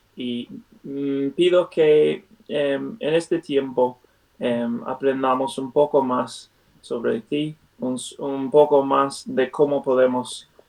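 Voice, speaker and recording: The man's pace is very slow. He has a non-native accent. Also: fairly high pitch for a man, ordinary pitch variation. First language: not Spanish (speaking Spanish). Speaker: Bible study teacher. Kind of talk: Bible study; prayer. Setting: video call. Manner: halting, many fillers.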